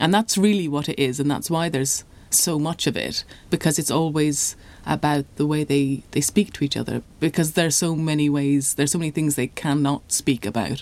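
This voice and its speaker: Speaking at a fairly quick pace, a woman with an Irish accent has a very deep, low pitch and ordinary pitch variation. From Ireland. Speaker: novelist. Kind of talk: interview.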